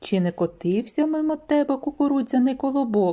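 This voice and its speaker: A woman uses a put-on character voice with a high pitch. She keeps a moderate pace and lively intonation. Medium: read story.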